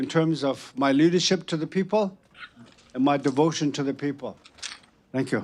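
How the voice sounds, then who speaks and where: A man speaks with a Southwestern US accent. His pitch variation is ordinary. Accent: Navajo-accented English. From Navajo Nation, US Southwest. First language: Navajo. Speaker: retired judge and peacemaker. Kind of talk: panel introduction. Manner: halting.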